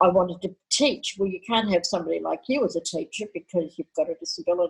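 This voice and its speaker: The woman's medium-pitched, somewhat breathy voice has lively intonation. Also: dry, close sound with no echo. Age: 60s. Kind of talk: podcast interview.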